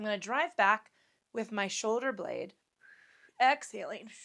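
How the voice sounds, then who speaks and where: A woman in a put-on character voice, fairly high and raspy, calm in tone, moderate in pace, with big swings in loudness, on a very clean recording with a silent background. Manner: calm, instructing while exhaling.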